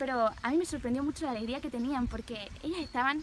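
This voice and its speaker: Over noticeable background noise, a woman with a Spanish accent speaks at a high pitch with ordinary pitch variation. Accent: Peninsular Spanish. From Spain. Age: 20s. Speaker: nun. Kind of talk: testimony.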